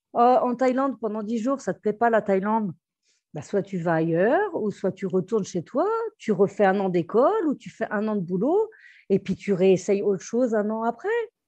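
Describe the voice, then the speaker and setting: Against a quiet background, a woman with a fairly high pitch and a dark, mellow tone talks at a moderate pace with lively intonation. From Brittany, France. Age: 40s. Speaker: restaurant entrepreneur and expat. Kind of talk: interview. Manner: halting, many fillers.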